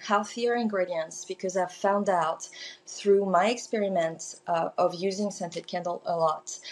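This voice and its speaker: In a French accent, a woman speaks with fairly even intonation. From southern France. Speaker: small business owner, candle maker. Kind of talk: podcast interview.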